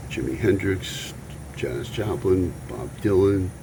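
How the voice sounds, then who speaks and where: The voice moves at a fairly slow pace with lively intonation. Audible room echo and noticeable background noise come through. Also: man. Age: 70s. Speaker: iguana keeper and retired musician. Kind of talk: casual vlog talk. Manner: hesitant, with many fillers.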